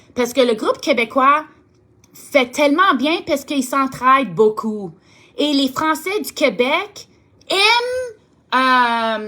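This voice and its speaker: Speaking at a very slow pace with long, frequent pauses, a woman raises and projects her voice. Her pitch is high, with lively intonation. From Ontario, Canada (Franco-Ontarian). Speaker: direct sales team leader. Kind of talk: motivational talk to sales team. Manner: halting, searches for words; warm, enthusiastic.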